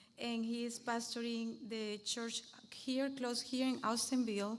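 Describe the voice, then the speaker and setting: At a fairly slow pace, someone talks with a Venezuelan accent against audible room echo. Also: woman. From Venezuela, south. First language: Spanish. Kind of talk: panel talk at church event. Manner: halting, many fillers.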